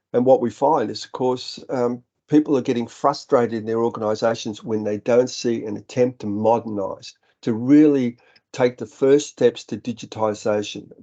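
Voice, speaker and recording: A man talks with an Australian accent at a moderate pace and medium pitch. His tone is dark and mellow, his intonation fairly even. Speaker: software company director. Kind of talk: webinar presentation. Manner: halting.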